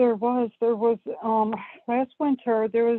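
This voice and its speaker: Monotone, flat intonation with an American accent. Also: woman. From US Northeast (Buffalo, New York). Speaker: caller. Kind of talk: phone-in advice call. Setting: phone call. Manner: hesitant, many fillers.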